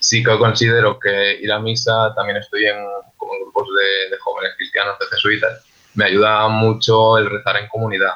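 A man speaks at a moderate pace. He leaves hardly any pauses. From Zaragoza, Spain. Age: 20s. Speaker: social worker. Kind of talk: round-table discussion.

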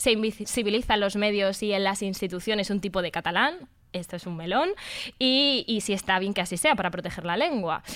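Recorded very cleanly against a silent background, a woman with an unremarkable speaking voice talks at a medium pitch with ordinary pitch variation. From Madrid, Spain. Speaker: radio host. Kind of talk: casual chat.

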